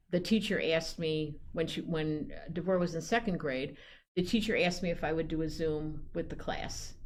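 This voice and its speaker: In a room with audible echo, a woman speaks at a moderate pace with a fairly low pitch and ordinary pitch variation. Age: 70s. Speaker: poet laureate. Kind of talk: casual chat. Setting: studio.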